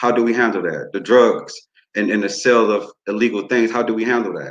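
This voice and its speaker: A man at a medium pitch, monotone and flat in intonation, at a fairly quick pace. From New Orleans, Louisiana, then Muskegon, Michigan. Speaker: youth group facilitator, community worker. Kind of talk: panel speech at online town hall.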